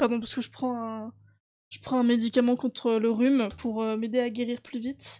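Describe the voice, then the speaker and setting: A woman speaks in a high pitch with a dark, mellow tone and monotone, flat intonation. Her loudness swings widely. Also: moderate pace. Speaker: board game youtuber and streamer. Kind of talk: casual vlog chat to viewers. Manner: hesitant, many fillers.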